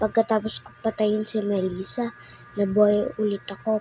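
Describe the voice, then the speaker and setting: A soft-spoken woman talks over music in the background. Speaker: gaming commentator. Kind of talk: gameplay commentary.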